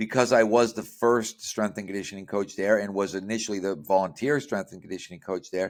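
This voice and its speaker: In a very clean recording with a silent background, a man with a plain, everyday voice speaks at a fairly quick pace with hardly any pauses, his fairly low pitch and fairly even intonation paired with big swings in loudness. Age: 60s. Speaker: strength and conditioning coach. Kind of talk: interview podcast.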